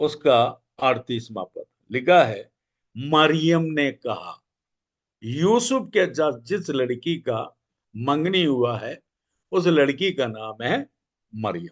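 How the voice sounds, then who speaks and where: His pitch is fairly high and the man's voice swings very widely in pitch. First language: Malayalam (speaking Hindi). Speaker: evangelist. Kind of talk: Bible study teaching. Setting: church prayer meeting.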